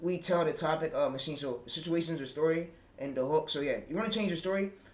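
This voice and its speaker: A high-pitched man's voice with an American accent, heard with audible room echo. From Pittsburgh, US. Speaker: YouTube automation streamer. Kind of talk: livestream tutorial. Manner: halting, many fillers.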